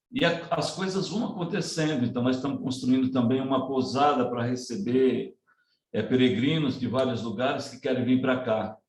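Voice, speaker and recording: At a moderate pace, a man speaks in a medium pitch with ordinary pitch variation and a somewhat breathy quality. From Ceará, Northeast Brazil, rural. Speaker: community education project leader. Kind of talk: presentation in online panel conversation.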